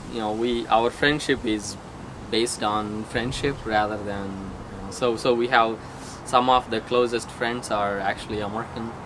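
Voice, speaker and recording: Against noticeable background noise, a man speaks at a moderate pace in a medium-pitched, flat, monotone voice. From India, Andhra Pradesh. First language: Telugu. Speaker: software engineer. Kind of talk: casual interview. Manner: halting.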